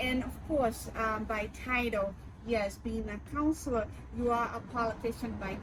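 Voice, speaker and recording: A woman talks at a fairly slow pace. The room echo is audible, and background noise is noticeable. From Brazil. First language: Portuguese. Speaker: city councilor and candidate. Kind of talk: interview.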